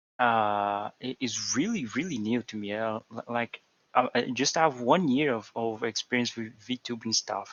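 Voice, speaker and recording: A man's medium-pitched voice with a Portuguese accent, a fairly slow pace and ordinary pitch variation. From Brazil. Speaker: programmer and VTuber. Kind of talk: casual chat. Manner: halting, many repetitions.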